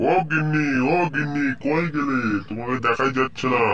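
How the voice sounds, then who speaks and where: Using a cartoonish character voice at a fairly high pitch, a man speaks at a moderate pace over light background noise. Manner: polite, timid.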